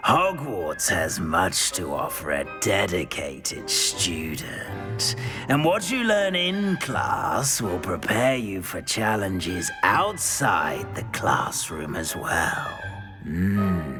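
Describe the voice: A put-on character voice moves at a very slow pace with big pitch swings. Clear music plays in the background. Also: man, low pitch for a man.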